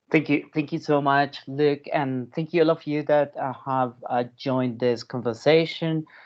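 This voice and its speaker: A man speaks at a fairly slow pace with a non-native accent and hardly any pauses. His pitch is fairly high, with fairly even intonation. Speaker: legal scholar and author. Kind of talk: academic talk. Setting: video call.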